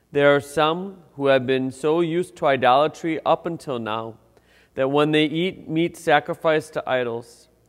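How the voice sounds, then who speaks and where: A man speaks at a fairly slow pace. His pitch variation is ordinary. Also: quiet background. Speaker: priest. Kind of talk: liturgical scripture reading. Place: church. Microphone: lapel.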